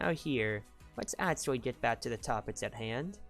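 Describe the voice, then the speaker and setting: Soft-spoken, a woman talks on a very clean recording with a silent background. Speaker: streamer. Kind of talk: casual chat. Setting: live stream at home late at night.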